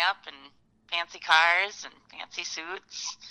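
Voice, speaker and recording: A woman's bright, sharp voice with an Upper Midwest accent. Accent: Upper Midwest American. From Fargo, North Dakota. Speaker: professional musician. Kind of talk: casual interview.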